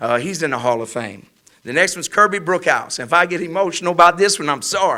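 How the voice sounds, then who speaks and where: A man's high-pitched voice with an American accent, a passionate tone, lively intonation and a fairly quick pace. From Louisiana, Welch (southwest Louisiana). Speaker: college football head coach. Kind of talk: press conference speech. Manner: passionate, emphatic.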